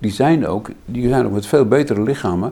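Lively intonation and a dark, mellow tone carry the speech along at a fairly quick pace. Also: man. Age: 70s. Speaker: physician and philosopher. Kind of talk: in-depth interview conversation.

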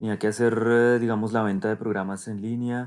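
A man's medium-pitched, plain, everyday voice at a fairly quick pace, on a very clean recording with a silent background. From Colombia. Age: 30s. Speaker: sales director. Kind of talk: podcast interview.

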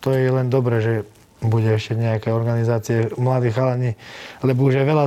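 Noticeable noise sits in the background. A man talks at a fairly quick pace with monotone, flat intonation. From Slovakia. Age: 20s. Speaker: MMA fighter. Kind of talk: interview.

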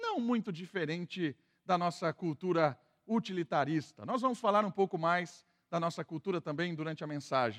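Lively intonation at a moderate pace, with a dry, close sound and no echo. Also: man, high pitch for a man. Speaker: pastor. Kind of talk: sermon.

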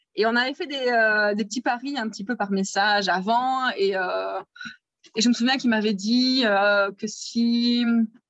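This woman has an unremarkable speaking voice. Her pitch is fairly high with ordinary variation. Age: 30s. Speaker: interviewee on love story. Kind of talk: personal storytelling interview.

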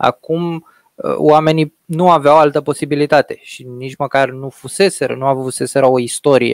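A man with a plain, everyday voice, fairly high in pitch, at a moderate pace with fairly even intonation. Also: dry, close sound with no echo. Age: 30s. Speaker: podcast host. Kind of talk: interview.

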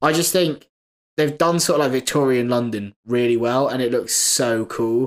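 With a British accent, a man speaks at a moderate pace and medium pitch, with ordinary pitch variation, very even loudness and a very clean recording over a silent background. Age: 20s. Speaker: podcast co-host. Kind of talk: casual chat.

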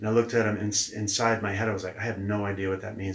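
Talking at a very fast pace, a man with an American accent has a fairly low pitch and a somewhat breathy sound. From New Hampshire, US. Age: 40s. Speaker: leadership coach. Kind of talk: interview. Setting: in person.

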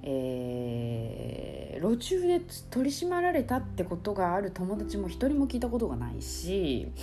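The woman speaks at a fairly slow pace. There is noticeable background noise and audible room echo. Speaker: podcaster. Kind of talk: casual solo talk.

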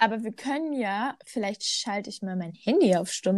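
A plain, everyday voice from a woman, medium in pitch, with lively intonation. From North Rhine-Westphalia, Germany. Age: 20s. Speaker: podcast co-host. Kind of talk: casual chat.

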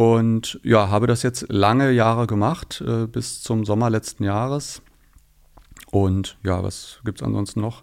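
In a normal speaking voice, a man talks at a fairly slow pace and medium pitch on a very clean recording with a silent background. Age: 50s. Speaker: sustainability and communications manager. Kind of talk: casual interview.

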